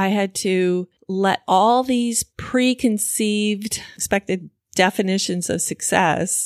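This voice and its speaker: Recorded very cleanly against a silent background, with a dry, close sound and no echo, a woman speaks in an ordinary speaking voice at a fairly slow pace with ordinary pitch variation. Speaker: podcast host. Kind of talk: solo podcast monologue.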